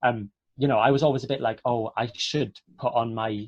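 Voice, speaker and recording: A man with a Welsh accent speaks in a somewhat breathy voice at medium pitch with ordinary pitch variation, recorded dry and close with no echo. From Wales, Port Talbot. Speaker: actor. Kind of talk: online Q&A interview.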